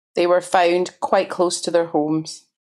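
On a very clean recording with a silent background, a woman talks with a Glasgow accent. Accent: Scottish (Glaswegian). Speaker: journalist. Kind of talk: interview conversation.

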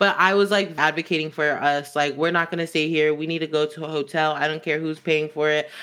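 On a very clean recording with a silent background, a woman with a slight Southern California accent talks at a fairly quick pace in a very deep, low pitch with monotone, flat intonation. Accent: Southern California, Valley accent, slight. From Los Angeles, San Fernando Valley. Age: 20s. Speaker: former foster youth, social work student. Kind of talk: casual interview conversation.

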